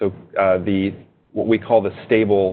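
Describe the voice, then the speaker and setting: This man's voice is very deep and low. His intonation is monotone and flat. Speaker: software engineer. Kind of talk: webinar presentation. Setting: webinar.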